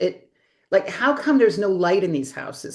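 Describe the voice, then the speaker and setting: A woman speaks at a medium pitch with a slight East Coast accent. Her pitch swings very widely. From US East Coast. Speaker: interior designer. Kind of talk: interview. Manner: chatty, talkative.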